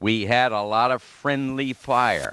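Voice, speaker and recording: A man with a New England accent is heard in a dry, close recording with no echo. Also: quiet background. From New York City (Flushing, Queens). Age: 90s. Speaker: war veteran. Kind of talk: lecture. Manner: halting.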